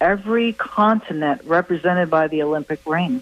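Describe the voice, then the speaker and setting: With an American accent, a woman speaks in a normal speaking voice at a moderate pace, her fairly low pitch showing ordinary pitch variation. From US South, Tampa, Florida. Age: 60s. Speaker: professional bowler. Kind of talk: radio interview.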